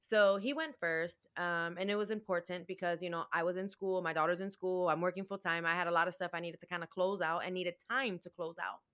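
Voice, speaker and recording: A woman with an American accent rushes along at a very fast pace with hardly any pauses, her fairly low voice keeping fairly even intonation. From Chicago, US Midwest. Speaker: domestic violence survivor and empowerment coach. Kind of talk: interview testimony.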